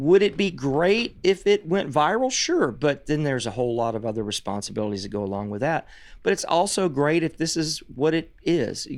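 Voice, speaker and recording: Speech in an American accent comes at a fairly quick pace with hardly any pauses and very wide pitch swings. The recording is very clean, with a silent background. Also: man, fairly high pitch for a man. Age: 60s. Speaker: songwriter and musician. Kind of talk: casual interview chat.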